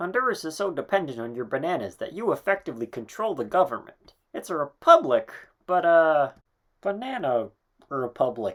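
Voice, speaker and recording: A cartoonish character voice at a middle pitch proceeds at a moderate pace. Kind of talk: educational explanation. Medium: puppet.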